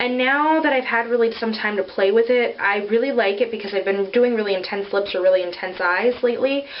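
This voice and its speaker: Noticeable background noise sits behind a woman speaking at a fairly quick pace in a fairly high voice with ordinary pitch variation. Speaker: beauty vlogger. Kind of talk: casual product review vlog. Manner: casual with many filler ums.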